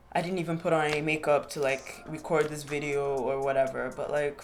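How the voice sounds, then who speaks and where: With music in the background, a woman speaks in a very deep, low voice. Her pace is moderate and her intonation fairly even. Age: 20s. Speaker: podcast host. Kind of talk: casual solo podcast monologue. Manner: halting, repeated fillers.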